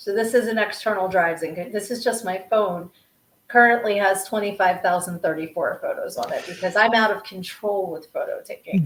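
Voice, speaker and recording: Her American accent clear, a woman speaks at a moderate pace with a medium pitch and fairly even intonation. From South Jersey / Delaware County area. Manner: chatty, rambling, casual.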